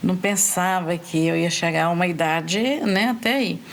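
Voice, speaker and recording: Lively intonation from a woman against clearly audible background noise. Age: 60s. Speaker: older guest sharing experience. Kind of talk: podcast interview.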